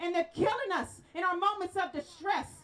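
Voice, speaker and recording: Loud and animated, a woman speaks at an extremely high pitch and a moderate pace. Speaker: rally speaker. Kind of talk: protest speech. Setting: outdoor rally with crowd.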